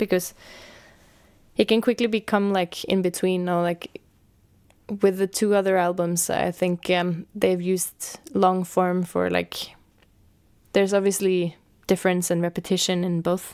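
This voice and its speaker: A woman with a Norwegian accent speaks at medium pitch and a fairly slow pace, in monotone, flat intonation. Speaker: musician and artist. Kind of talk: interview. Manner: halting.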